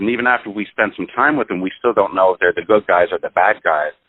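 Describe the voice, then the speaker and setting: A man with a fairly low voice talks at a very fast pace. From Ireland. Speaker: film critic interviewer. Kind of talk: interview.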